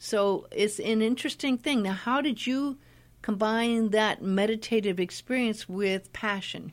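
A woman's normal speaking voice, fairly high and fairly slow, with ordinary pitch variation and very even loudness, on a very clean recording with a silent background. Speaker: radio host. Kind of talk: interview.

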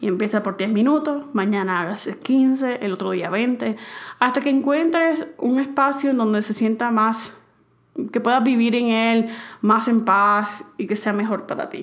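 A woman talks with a fairly high pitch and ordinary pitch variation. She has an unremarkable speaking voice. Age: 20s. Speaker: podcast host. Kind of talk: advice monologue.

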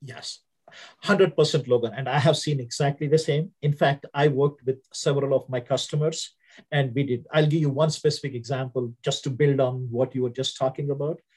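A man's fairly high, somewhat breathy voice with an Indian accent, fairly even intonation and a moderate pace. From India (Hyderabad). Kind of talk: interview.

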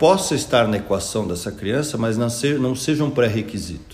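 Somewhat breathy, a man speaks at a medium pitch. His pitch swings very widely. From interior of São Paulo state, Piracicaba. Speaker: school founder, former lawyer and investor. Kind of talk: interview. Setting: at the school.

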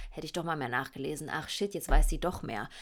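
A woman's animated tone at a very fast pace. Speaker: podcast host. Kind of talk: casual monologue.

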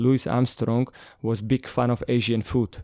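A very clean recording with a silent background, a dark, mellow tone, a dry, close sound with no echo, a Slovak accent and a moderate pace. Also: man. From Slovakia, north. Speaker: bar director. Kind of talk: interview. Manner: halting.

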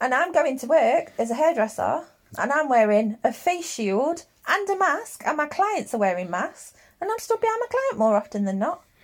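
Against noticeable background noise, a woman talks at a fairly quick pace with a high pitch that swings very widely. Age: 30s. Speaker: podcast co-host and hairdresser. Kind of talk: casual chat. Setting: at home in the bedroom.

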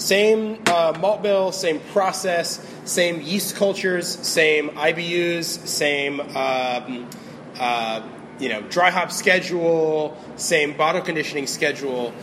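A man's high-pitched voice with an American accent, ordinary pitch variation, a very slow pace, and noticeable background noise. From Florida (St. Petersburg area). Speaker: brewmaster. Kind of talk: casual interview. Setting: brewery. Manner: hesitant, many fillers.

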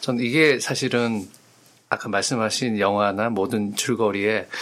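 The man's voice sits at a medium pitch. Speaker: podcast co-host. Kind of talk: casual discussion.

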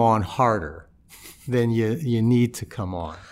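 On a very clean recording with a silent background, a man with an American accent uses a normal speaking voice at a medium pitch, talking fairly slowly with lively intonation. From US Midwest, St. Louis. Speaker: federal judge. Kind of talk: interview. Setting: studio.

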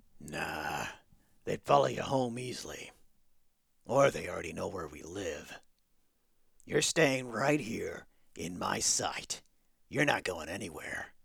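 Putting on a raspy character voice, a man at medium pitch speaks at a fairly slow pace with long, frequent pauses, very wide pitch swings and big swings in loudness. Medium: audio drama. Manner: gruff, blunt.

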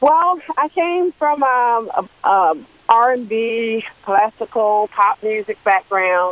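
A woman with an American accent speaks at a very slow pace, her pitch fairly high and swinging very widely. The sound is dry and close, with no echo. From Washington D.C. area. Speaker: singer. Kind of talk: radio interview.

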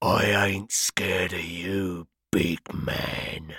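In a put-on character voice, a man growls in a raspy, very deep, low pitch at a very slow pace with monotone, flat intonation. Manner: growling, menacing.

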